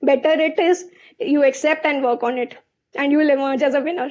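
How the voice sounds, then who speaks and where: This woman has a high pitch and speaks at a fairly quick pace. Her intonation stays fairly even. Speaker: chartered accountant and company CFO. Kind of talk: webinar panel talk. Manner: fast.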